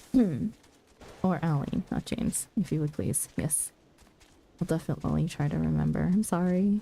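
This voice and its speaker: A soft-spoken woman talks at a fairly low pitch with a dark, mellow tone and vocal fry. Her intonation is lively, her pace moderate, and she leaves long, frequent pauses. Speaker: streamer. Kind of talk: casual chat. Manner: soft-spoken, under her breath.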